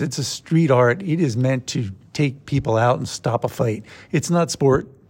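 A man speaks at a moderate pace with lively intonation and a fairly high pitch, somewhat breathy. The recording is very clean, with a silent background. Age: 50s. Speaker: martial arts coach. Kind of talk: casual chat.

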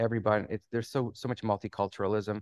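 Against a quiet background, a man with a slight Canadian accent speaks in a monotone, flat intonation, in a dry, close sound with no echo. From Canada. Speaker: immigration attorney. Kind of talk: casual interview.

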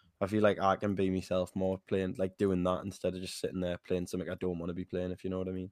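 A man talks very fast with a very deep, low pitch, flat monotone intonation and hardly any pauses. The recording is very clean with a silent background and a dry, close sound with no echo. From northern England. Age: 20s. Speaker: game streamer. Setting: live stream with video camera.

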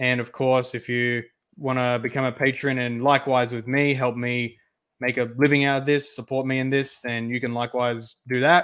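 This man speaks at a moderate pace with an Australian accent, his medium pitch held in a flat, monotone delivery. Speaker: co-streamer. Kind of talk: casual chat.

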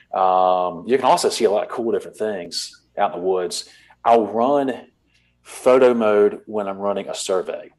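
A man with a coastal Georgia accent and a fairly low pitch, ordinary pitch variation and a moderate pace. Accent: US Southern (coastal Georgia). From US South, Savannah, Georgia. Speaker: hunter and habitat manager. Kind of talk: casual interview.

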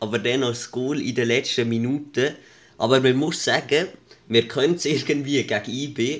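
Speaking at a moderate pace with fairly even intonation, a man uses a normal speaking voice at medium pitch. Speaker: podcast co-host. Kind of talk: casual chat.

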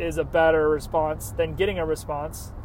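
Noticeable background noise runs beneath a man's animated delivery. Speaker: podcast host. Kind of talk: solo monologue. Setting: in a car.

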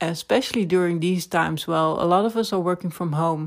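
In a Dutch accent, a woman talks at a moderate pace with a fairly low pitch and fairly even intonation, on a very clean recording with a silent background. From Netherlands. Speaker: podcast host, personal branding consultant. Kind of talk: solo monologue podcast.

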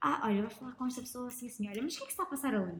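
The delivery is animated. Pitch varies in an ordinary way. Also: woman. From northern Portugal, Lousada. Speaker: reporter. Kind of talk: casual chat. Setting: taproom.

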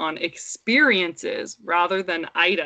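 Speaking at a very slow pace, a woman of medium pitch uses ordinary pitch variation. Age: 30s. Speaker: podcast co-host and mother. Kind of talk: casual chat.

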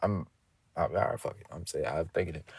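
Heard in a very clean recording with a silent background, a man speaks with an American accent and a fairly low pitch. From New Jersey. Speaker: podcast host. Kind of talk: casual chat.

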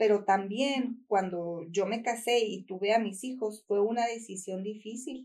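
Her voice a normal speaking voice, a woman speaks fairly slowly with fairly even intonation. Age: 40s. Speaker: small business owner. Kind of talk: interview testimony.

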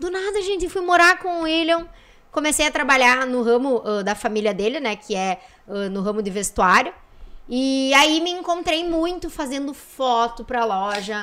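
A woman speaks in a bright, sharp, high-pitched tone with very wide pitch swings. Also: moderate pace. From Santa Rosa, Rio Grande do Sul, Brazil. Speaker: businesswoman and influencer. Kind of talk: casual chat.

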